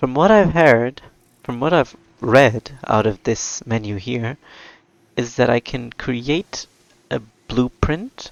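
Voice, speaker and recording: Speaking with a non-native accent, a man at medium pitch moves at a very slow pace, with ordinary pitch variation and long, frequent pauses. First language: not English. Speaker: gaming video creator. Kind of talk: let's play commentary. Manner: casual, chatty.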